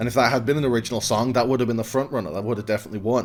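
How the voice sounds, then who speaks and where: A man speaks with music in the background. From Britain. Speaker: film critic youtuber. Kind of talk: casual commentary. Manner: hesitant with fillers and restarts.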